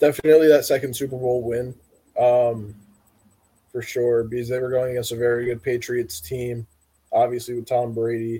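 A man with a medium pitch speaks at a moderate pace in a somewhat breathy, monotone and flat delivery, leaving long, frequent pauses. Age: 20s. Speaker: sports podcast guest co-host. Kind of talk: casual chat. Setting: live stream.

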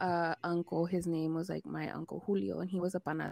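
In a very clean recording with a silent background, a woman speaks in a fairly low, dark and mellow voice. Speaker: podcast host. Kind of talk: casual chat.

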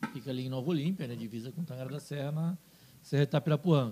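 A man talks at a fairly quick pace with a dark, mellow tone that is somewhat breathy, his pitch varying in an ordinary way. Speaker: businessman and TV station owner. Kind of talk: casual interview.

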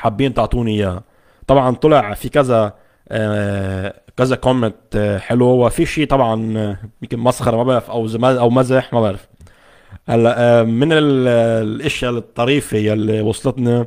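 The speaker has a Lebanese accent and talks at a fairly slow pace with fairly even intonation. The recording is very clean, with a silent background. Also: man, medium pitch for a man. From Lebanon. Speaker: tech YouTuber. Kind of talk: live stream chat with viewers. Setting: home studio, Facebook live from laptop. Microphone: condenser microphone connected directly to laptop.

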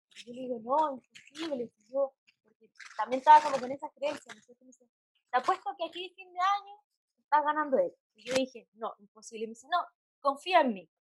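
A woman's high-pitched, fairly quick voice with lively intonation and big swings in loudness, in a dry, close sound with no echo. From Santiago, Chile. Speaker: psychologist. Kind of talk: interview.

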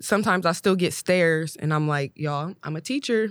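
In a very clean recording with a silent background and a dry, close sound with no echo, a woman with an American accent uses a normal speaking voice and lively intonation. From Ohio, Columbus. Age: 20s. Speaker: high school English teacher. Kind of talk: casual chat.

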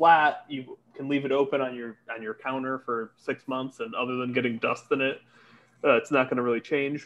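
A man's normal speaking voice with an American accent, medium pitch, fairly even intonation and moderate pace. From Connecticut. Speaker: beer importer employee. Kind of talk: casual chat. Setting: hotel room.

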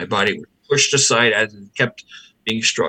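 A man's voice has a bright, sharp tone and a dry, close sound with no echo. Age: 60s. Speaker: exorcist and bishop. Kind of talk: interview conversation.

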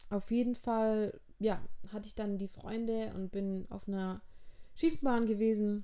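Audible room echo surrounds words delivered at a fairly slow pace. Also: woman. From southern Germany, near Heilbronn. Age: 20s. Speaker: podcaster. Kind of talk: personal monologue.

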